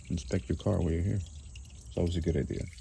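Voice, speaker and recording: A man speaks softly in a very deep, low voice with some vocal fry. His tone is dark and mellow, and his pitch moves in an ordinary way. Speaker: DIY car mechanic. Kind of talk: tutorial. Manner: soft-spoken; casual.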